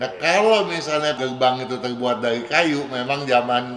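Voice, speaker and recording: Noticeable noise fills the background. A man talks over it. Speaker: feng shui consultant. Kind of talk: radio advice Q&A. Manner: casual, conversational.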